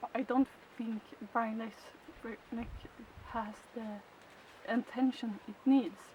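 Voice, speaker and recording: Over noticeable background noise, a woman with a Swedish accent speaks very slowly, with fairly even intonation, big swings in loudness and long, frequent pauses. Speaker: chicken keeper. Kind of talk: tutorial. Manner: halting.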